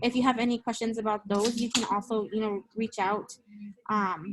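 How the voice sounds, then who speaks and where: The voice is somewhat breathy. Its intonation is monotone and flat. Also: woman. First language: Spanish. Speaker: education student presenter. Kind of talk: class presentation. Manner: hesitant, many fillers.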